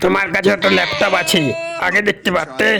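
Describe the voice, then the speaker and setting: In a cartoonish character voice pitched high, a man talks at a moderate pace over clear background noise. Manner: commanding, hot-tempered.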